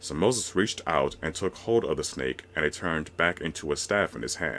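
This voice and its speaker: A man's very deep, low voice with vocal fry and lively intonation at a fairly quick pace. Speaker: voice narrator. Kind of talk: reading aloud.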